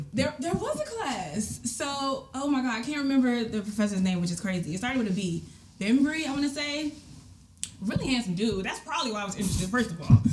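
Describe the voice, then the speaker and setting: A high-pitched woman with an American accent, very fast and lively in intonation, amid audible room echo and noticeable background noise. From DMV area (Washington DC region), US. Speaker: live event producer. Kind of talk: casual interview chat. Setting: home basement podcast studio. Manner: animated, filler-heavy.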